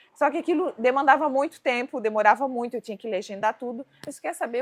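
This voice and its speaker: A woman talks at a very fast pace with hardly any pauses, high in pitch with ordinary pitch variation and big swings in loudness, in a dry, close sound with no echo. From Balneário Camboriú, Santa Catarina, southern Brazil. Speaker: cooking teacher and entrepreneur. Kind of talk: casual interview chat.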